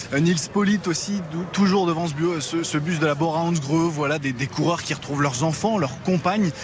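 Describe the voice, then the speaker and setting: A man's fairly high voice holds very even loudness and ordinary pitch variation over noticeable background noise. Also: moderate pace. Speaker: field reporter. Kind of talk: live reporting. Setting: outdoors by team bus, crowd.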